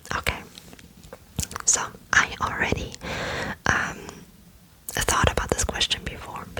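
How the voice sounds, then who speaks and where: A woman whispers at a fairly slow pace, with long, frequent pauses. Noticeable background noise sits behind her. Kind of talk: whispered ASMR Q&A to camera. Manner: whispered, soft, slow with frequent fillers.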